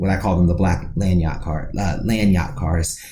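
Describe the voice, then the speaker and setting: A man's very deep, low voice with an American accent, amid noticeable background noise and audible room echo. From US Midwest, Dayton Ohio. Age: 30s. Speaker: podcast co-host, music writer. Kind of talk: casual podcast interview.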